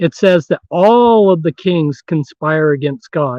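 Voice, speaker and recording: A fairly high-pitched man's voice with ordinary pitch variation. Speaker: author and researcher on secret societies. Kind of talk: interview. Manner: loud. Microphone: distorting from loudness.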